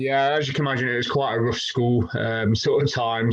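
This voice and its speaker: This man, with a British accent, speaks at a moderate pace and medium pitch, using ordinary pitch variation. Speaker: fitness coach. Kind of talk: casual interview.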